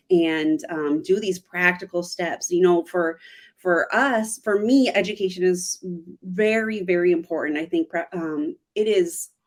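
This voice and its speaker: A woman talks at a fairly slow pace with an American accent, in an ordinary speaking voice. Her pitch sits in the medium range and moves with ordinary variation. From United States. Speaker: missionary. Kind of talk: interview conversation.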